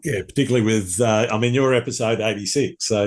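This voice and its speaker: In an Australian accent, a man with a medium pitch talks very fast with fairly even intonation. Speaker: podcast host. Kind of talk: casual chat. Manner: halting.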